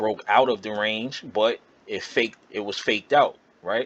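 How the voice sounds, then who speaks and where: A man with an unremarkable speaking voice, medium in pitch, with fairly even intonation. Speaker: trading educator. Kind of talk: tutorial.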